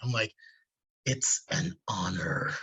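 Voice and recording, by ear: A man puts on a character voice at a medium pitch.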